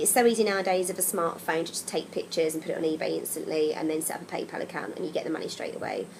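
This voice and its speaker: Over noticeable background noise, a woman with an English accent talks at a very fast pace, with hardly any pauses. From England. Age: 30s. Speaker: travel vlogger. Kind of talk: casual vlog advice. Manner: casual, chatty with frequent ums.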